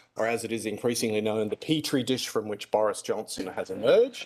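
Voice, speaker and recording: Speaking very fast with an Australian accent, a man lets his pitch swing very widely. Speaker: classics academic. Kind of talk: debate speech. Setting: stage with audience. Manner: animated.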